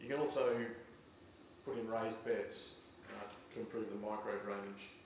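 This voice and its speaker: Noticeable background noise and audible room echo around a man with an Australian accent at a moderate pace. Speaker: farm software presenter. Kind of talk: presentation to audience.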